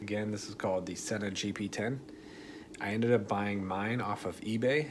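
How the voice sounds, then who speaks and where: Fairly low male voice at a moderate pace, with fairly even intonation and audible room echo. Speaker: motovlogger. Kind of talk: tutorial. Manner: soft-spoken. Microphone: voice recording kind of quiet.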